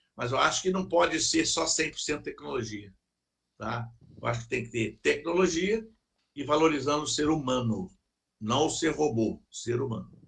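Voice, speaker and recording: A man talks at a fairly high pitch and a moderate pace, with lively intonation and vocal fry. He leaves long, frequent pauses. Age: 60s. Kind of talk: casual chat.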